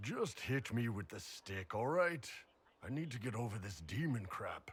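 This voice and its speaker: Putting on a character voice, a man sounds raspy at a medium pitch, moving at a moderate pace with very wide pitch swings. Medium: video game. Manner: gruff, crude.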